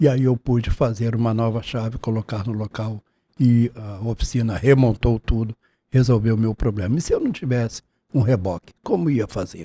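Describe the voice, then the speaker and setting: Recorded very cleanly against a silent background, this man's medium-pitched voice is somewhat breathy with a dark, mellow tone and ordinary pitch variation. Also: moderate pace, dry, close sound with no echo. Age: 70s. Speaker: taxi driver. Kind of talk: testimony. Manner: formal.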